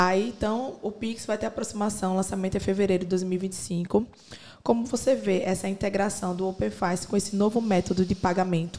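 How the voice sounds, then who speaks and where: At a fairly quick pace, a woman speaks with a medium pitch and a dark, mellow tone. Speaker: podcast interviewer. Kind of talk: casual chat; interview. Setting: studio, wearing headphones.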